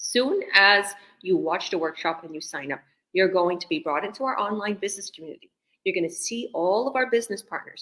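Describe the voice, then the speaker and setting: In a Canadian accent, a bright, sharp voice moves at a fairly quick pace with lively intonation and big swings in loudness. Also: woman, medium pitch for a woman. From Canada, Toronto. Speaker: business coach. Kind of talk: online interview Q&A. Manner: animated.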